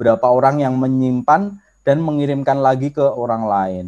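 Against a quiet background, a man with a Javanese accent speaks at a medium pitch. His tone is dark and mellow, and his pace fairly quick. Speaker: social media trainer; presenter. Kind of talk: online workshop lecture. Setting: video call. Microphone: video call.

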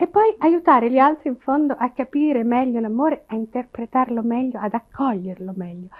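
With a quiet background behind her, a woman talks at a fairly quick pace. Her pitch is high. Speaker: television presenter. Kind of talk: interview answer. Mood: smiling, relaxed, confident. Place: home room.

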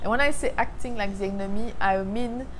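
With noticeable background noise, a woman with a French accent talks at a medium pitch and a moderate pace. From Martinique. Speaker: faith vlogger. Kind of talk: casual talk to camera. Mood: calm, earnest, reflective. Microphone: lapel.

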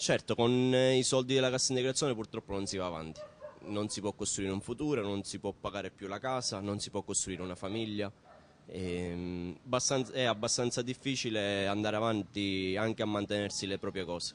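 This is an unremarkable speaking voice. It moves at a fairly quick pace with ordinary pitch variation. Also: man, fairly low pitch for a man. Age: 20s. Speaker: laid-off supermarket worker. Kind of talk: news interview.

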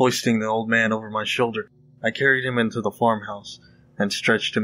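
The text comes in a natural reading voice.

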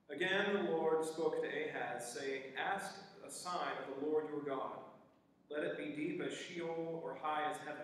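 The speech goes at a fairly slow pace. Strong room echo surrounds it. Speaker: scripture reader and worship participant. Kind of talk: scripture reading. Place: church.

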